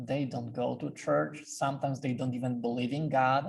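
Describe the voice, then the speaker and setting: A man with a Polish accent talks at a moderate pace. His pitch is fairly high and his voice is somewhat breathy. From Poland, Silesia. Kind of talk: talk to a club. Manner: halting.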